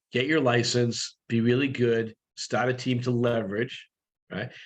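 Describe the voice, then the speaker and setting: The speaker is a man with an unremarkable speaking voice. He speaks at a medium pitch with fairly even intonation. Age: 60s. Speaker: real estate brokerage leader, guest coach. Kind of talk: coaching session Q&A on video call. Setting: video call.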